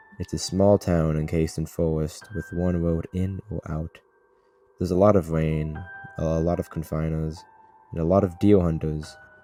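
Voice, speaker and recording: With music in the background, a man with a very deep, low pitch talks at a moderate pace and with fairly even intonation. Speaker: horror story narrator. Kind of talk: horror story reading. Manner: stuttering, edited.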